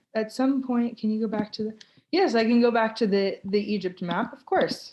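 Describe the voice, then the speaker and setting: At a moderate pace, a woman with an American accent talks in an ordinary speaking voice, fairly high in pitch with ordinary pitch variation. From Florida, US. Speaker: tour ambassador. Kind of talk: live Q&A webinar.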